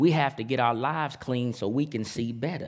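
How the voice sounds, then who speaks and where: Pitch moves in an ordinary way while the talking keeps a moderate speed. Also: man. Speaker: preacher. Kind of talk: sermon. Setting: church with congregation. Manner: animated, call-and-response, urging the congregation to shout back; rhythmic, emphatic, punchy, with vivid phrases and colloquial asides.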